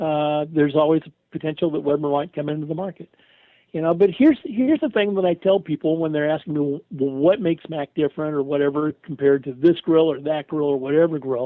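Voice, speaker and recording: This is a man with a normal speaking voice and a fairly high pitch. He speaks at a fairly quick pace. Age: 60s. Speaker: retired radio host and grill company representative. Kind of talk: casual interview.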